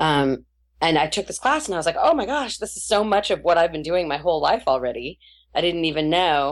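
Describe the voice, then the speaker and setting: Using a normal speaking voice, a woman talks at a fairly quick pace and fairly low pitch with lively intonation. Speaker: voice actress. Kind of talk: casual interview chat. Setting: Skype call.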